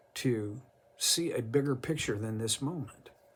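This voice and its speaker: Lively intonation marks a man's medium-pitched voice. There is a somewhat breathy quality to it. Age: 70s. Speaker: Bible teacher. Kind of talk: devotional Bible teaching. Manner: halting.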